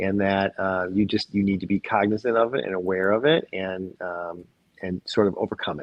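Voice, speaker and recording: An ordinary speaking voice, a man with an American accent speaks at a moderate pace in a fairly low pitch with ordinary pitch variation. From Michigan, US. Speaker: physician. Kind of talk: interview.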